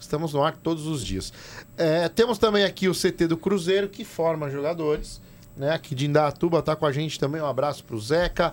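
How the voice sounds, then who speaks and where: Recorded very cleanly against a silent background, a man talks fairly quickly at a fairly high pitch with ordinary pitch variation. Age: 30s. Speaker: football podcast host. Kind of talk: casual chat. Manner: animated.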